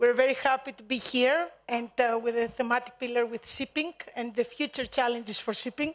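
Over a quiet background, a woman speaks at a high pitch. Her intonation stays fairly even. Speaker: panel moderator. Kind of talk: formal opening remarks. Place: hall. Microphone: podium.

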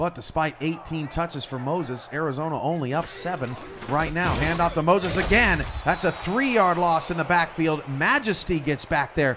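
Noticeable background noise accompanies a man with a fairly high voice who speaks at a moderate pace with ordinary pitch variation. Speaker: play-by-play commentator. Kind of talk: live play-by-play sports commentary of a simulated football game. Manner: conversational, broadcast-style with occasional self-corrections.

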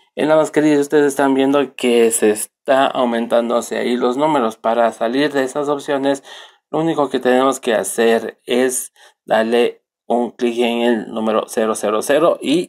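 Here a man talks at a medium pitch with fairly even intonation. His pace is fairly slow and his loudness stays very even. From Ecuador, Riobamba. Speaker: computer technician. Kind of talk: software tutorial. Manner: halting, with fillers.

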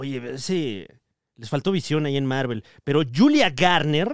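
A man with a Mexican accent speaks fairly slowly, at a fairly high pitch with ordinary pitch variation. The sound is dry and close, with no echo. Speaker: comedy podcast host. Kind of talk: casual chat. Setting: live show with audience.

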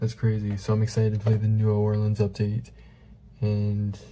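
Quiet and somewhat breathy, a man speaks in a fairly low pitch with a dark, mellow tone over light background noise. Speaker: gaming YouTuber. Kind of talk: casual gameplay commentary. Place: home room. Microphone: webcam.

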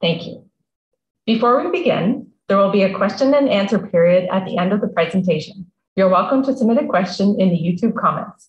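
A woman's somewhat breathy voice at a moderate pace, with audible room echo. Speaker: museum talk host. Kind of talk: read introduction. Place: home room. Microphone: video call.

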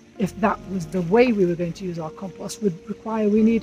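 A woman speaks with ordinary pitch variation in a dry sound with no echo, faint music playing behind her. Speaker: compost instructor. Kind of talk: tutorial. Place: garden. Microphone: camera far.

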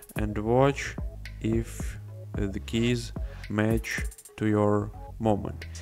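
With music in the background, a man speaks in a non-native accent. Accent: non-native English pronunciation. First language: non-native English speaker. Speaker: video editor. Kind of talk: software tutorial narration.

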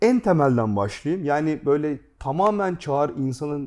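This man has a dark, mellow tone. He speaks at a moderate pace with lively intonation. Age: 40s. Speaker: gaming YouTube host. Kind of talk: casual chat.

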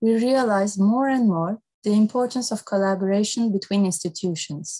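A woman speaks at a moderate pace in a dark, mellow tone that is somewhat breathy. Her pitch varies in an ordinary way over a quiet background. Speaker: moderator. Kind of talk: formal event introduction. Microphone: earbuds.

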